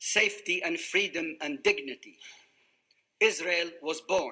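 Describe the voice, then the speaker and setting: With an Arabic accent, a man uses a raised, projected voice with a bright, sharp tone at a fairly slow pace. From Iraq, Baghdad. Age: 80s+. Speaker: refugee survivor speaker. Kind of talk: prepared testimony speech.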